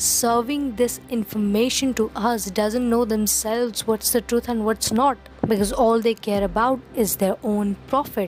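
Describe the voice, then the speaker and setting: There is noticeable background noise behind a woman's voice. She speaks at a fairly slow pace with a fairly high pitch. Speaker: movie and show reviewer. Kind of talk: review talk to camera. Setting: low-quality recording.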